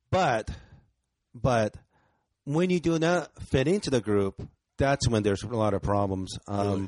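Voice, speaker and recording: A man speaks with long, frequent pauses and very wide pitch swings, his sound dry and close with no echo. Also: medium pitch for a man, fairly slow pace, very even loudness. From Japan, Osaka. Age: 40s. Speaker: stand-up comedian. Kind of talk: casual chat. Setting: studio.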